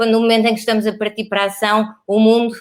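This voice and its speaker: With a European Portuguese accent, a woman speaks at a fairly high pitch in a monotone, flat intonation. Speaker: interviewer, library program host. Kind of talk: interview.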